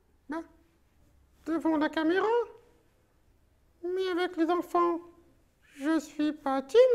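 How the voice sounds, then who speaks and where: A cartoonish character voice at a fairly slow pace, broken by long, frequent pauses. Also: man, extremely high pitch for a man. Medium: puppet. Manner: shy, cheeky.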